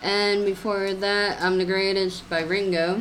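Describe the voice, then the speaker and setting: Over noticeable background noise, a woman of medium pitch talks at a fairly slow pace. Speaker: radio co-host. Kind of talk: live radio DJ patter, back-announcing songs and counting down to breaks.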